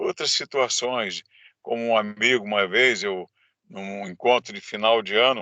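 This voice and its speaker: A man's medium-pitched voice at a fairly slow pace. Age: 60s. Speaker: government adviser. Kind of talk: interview testimony.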